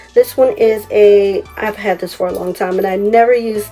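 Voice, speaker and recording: A woman's fairly high-pitched voice at a moderate pace, with music in the background. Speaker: craft YouTuber. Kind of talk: tutorial. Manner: animated.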